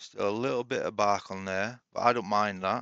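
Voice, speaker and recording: A man with a Yorkshire accent at a moderate pace, his tone relaxed yet bright and sharp, his intonation monotone and flat, in a dry, close sound with no echo over a quiet background. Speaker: woodturner. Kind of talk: tutorial. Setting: home workshop shed. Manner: casual, relaxed.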